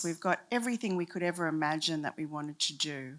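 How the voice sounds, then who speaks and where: In a very clean recording with a silent background, a woman talks at a fairly low pitch with ordinary pitch variation. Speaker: university leader speaking at a summit. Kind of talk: conference talk. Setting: stage with audience, handheld mic. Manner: slow, deliberate.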